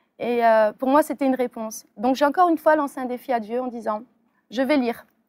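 A woman talks at a fairly quick pace in a high pitch with fairly even intonation. The recording is very clean with a silent background, and the sound is dry and close with no echo. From France, Metz. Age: 30s. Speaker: convert giving testimony. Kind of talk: testimony. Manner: halting, many fillers.

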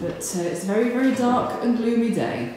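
A woman talks at a fairly slow pace with ordinary pitch variation. Room echo is audible.

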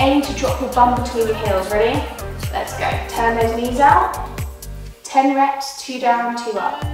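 A woman with a high voice speaks at a fairly slow pace with ordinary pitch variation, her words carrying strong room echo over clear background music. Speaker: fitness instructor. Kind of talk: workout instruction. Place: gym.

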